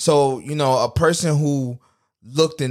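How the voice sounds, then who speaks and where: Recorded very cleanly against a silent background, a man with an unremarkable speaking voice talks at a moderate pace and fairly high pitch with fairly even intonation. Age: 20s. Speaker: podcast host. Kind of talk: casual monologue.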